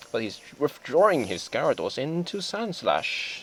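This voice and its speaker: A man talks very slowly with music in the background. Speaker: competitive video game player. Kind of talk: gameplay commentary.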